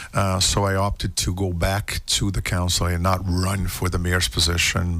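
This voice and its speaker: The speech holds a flat, monotone intonation at a moderate pace, with noticeable background noise behind it. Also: man. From Cape Verde and Angola. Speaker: city councilor and mayoral candidate. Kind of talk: radio interview. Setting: studio.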